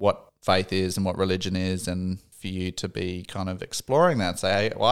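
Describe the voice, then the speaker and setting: An Australian accent comes through as a man speaks with a very deep, low pitch at a moderate pace, hardly pausing, in a very clean recording with a silent background. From Australia, Darwin. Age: 30s. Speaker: psychology trainee, former engineer. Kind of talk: casual interview.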